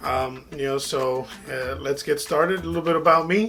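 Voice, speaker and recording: The speaker has an American accent and ordinary pitch variation. The pace is moderate, with music in the background. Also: man. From South Texas (Kingsville). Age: 30s. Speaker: middle school science teacher. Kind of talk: casual intro video to students. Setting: home office studio. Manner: casual, many fillers.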